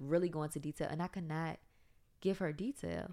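A woman with an American accent and vocal fry speaks very deep and low at a moderate pace on a very clean recording with a silent background. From South Side of Richmond, Virginia, US South. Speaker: podcast co-host. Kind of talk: casual chat.

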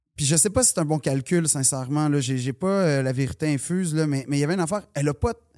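A man with a Quebec accent talks very fast, with hardly any pauses, ordinary pitch variation and a fairly high pitch, on a very clean recording with a silent background. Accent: Québécois French. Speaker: comedian. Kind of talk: casual chat.

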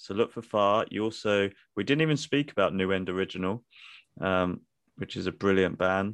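Against a quiet background, a man with a British accent talks with ordinary pitch variation. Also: fairly low pitch for a man, moderate pace. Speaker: podcast host.

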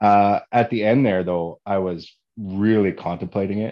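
The man's voice sits at a fairly low pitch and has a dark, mellow tone. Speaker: podcast host. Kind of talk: casual interview chat. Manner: outgoing and loud.

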